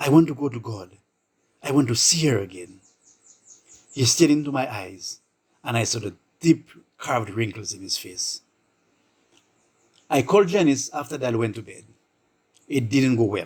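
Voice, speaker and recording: A man talks at a moderate pace and medium pitch, somewhat breathy, with lively intonation and big swings in loudness. He leaves long, frequent pauses. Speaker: storyteller. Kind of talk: short story narration.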